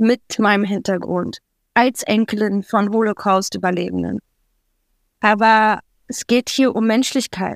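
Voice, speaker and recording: A woman speaks at a very slow pace with a fairly high pitch and ordinary pitch variation. The sound is dry and close, with no echo. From Berlin, Germany. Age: young. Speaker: interview guest. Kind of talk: conversational interview.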